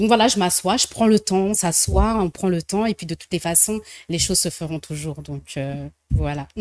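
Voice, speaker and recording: In an unremarkable speaking voice, a woman talks at a moderate pace with fairly low pitch and ordinary pitch variation, the sound dry and close with no echo on a very clean recording with a silent background. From French diaspora, left Congo very young. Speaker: social entrepreneur, association founder. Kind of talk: TV interview.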